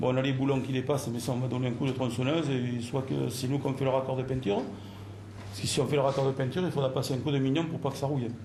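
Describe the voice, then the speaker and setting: This man speaks very fast at a medium pitch, his intonation fairly even. The room echoes audibly, and background noise is noticeable. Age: 60s. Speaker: club general services handyman. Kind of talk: casual work talk and staff meeting. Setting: club office meeting.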